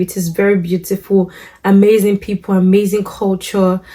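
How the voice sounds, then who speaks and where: Her voice is somewhat breathy and medium-pitched for a woman, with a dark, mellow tone. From Nigeria. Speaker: lifestyle vlogger. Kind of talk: casual vlog talk to camera. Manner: relaxed, with many fillers.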